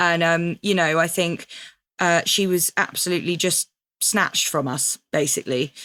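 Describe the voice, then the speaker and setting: Recorded very clean against a silent background, a woman speaks at a moderate pace in a bright, sharp tone with a dry, close sound and no echo. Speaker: voiceover artist. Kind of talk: interview answer. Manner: hesitant, emotional.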